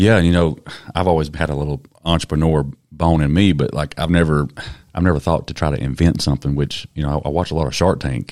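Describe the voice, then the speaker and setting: Talking at a very fast pace, a man with a Southern US accent uses a very deep, low pitch and fairly even intonation. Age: 30s. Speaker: podcast host. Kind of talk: casual interview. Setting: studio.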